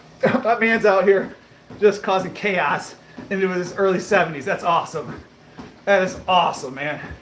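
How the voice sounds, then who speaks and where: Amid audible room echo and noticeable background noise, a man with a high pitch talks at a moderate pace with ordinary pitch variation. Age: 30s. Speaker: fitness livestreamer. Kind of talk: casual live stream chat. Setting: live stream on a treadmill. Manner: casual, conversational.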